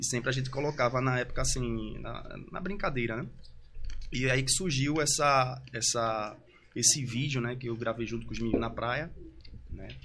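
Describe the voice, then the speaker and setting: With vocal fry and a bright, sharp tone, a medium-pitched male voice moves at a moderate pace with ordinary pitch variation, long, frequent pauses and audible room echo. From Recife, Pernambuco, Brazil. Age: 30s. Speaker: brega funk singer. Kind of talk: casual interview.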